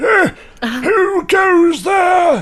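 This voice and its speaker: A man's put-on character voice, pitched extremely high. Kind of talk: aristocratic old-fashioned speech. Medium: actual play. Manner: pompous, grandiloquent.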